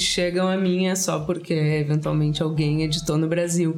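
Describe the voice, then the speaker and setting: There is noticeable background noise and audible room echo. A man speaks in a high voice with monotone, flat intonation. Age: 30s. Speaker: writer. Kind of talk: casual chat. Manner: hesitant.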